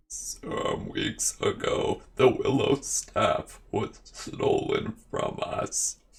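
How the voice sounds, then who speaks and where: A man's put-on character voice, croaky and extremely high, at a very slow pace with hardly any pauses. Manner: croaking.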